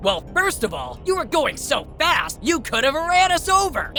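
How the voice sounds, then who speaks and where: A cartoonish character voice with an extremely high pitch at a moderate pace, clear music in the background. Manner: prim, fussy.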